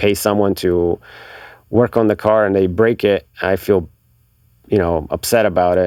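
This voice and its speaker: Speaking at a moderate pace, a man has a very deep, low pitch, a dark, mellow tone and fairly even intonation. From Bulgaria. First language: Bulgarian. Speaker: magazine marketing director. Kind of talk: casual interview chat. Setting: recording studio.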